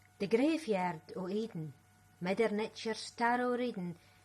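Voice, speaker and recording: A woman with a Scottish accent, somewhat breathy, at a fairly slow pace with lively intonation. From Scotland. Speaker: writer and spoken word performer. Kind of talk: poetry reading.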